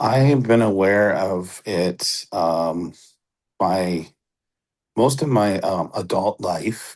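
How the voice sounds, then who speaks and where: The speech moves at a very slow pace with long, frequent pauses and ordinary pitch variation. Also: man, fairly low pitch for a man. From Ontario, Canada (Batchewana First Nation). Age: 40s. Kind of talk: interview. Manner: hesitant, many fillers.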